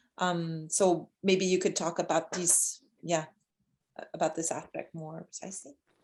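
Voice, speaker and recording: A woman with a Quebec accent, fairly low in pitch, at a fairly slow pace, in a flat monotone with big swings in loudness. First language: French. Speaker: cultural mediator hosting discussion. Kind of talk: moderated discussion. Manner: halting.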